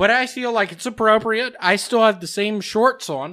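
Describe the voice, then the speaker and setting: A man speaks in a raised, projected voice with a bright, sharp, animated tone. The background is quiet. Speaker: podcast co-host. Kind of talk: casual chat. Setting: studio. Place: home room. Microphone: studio mic.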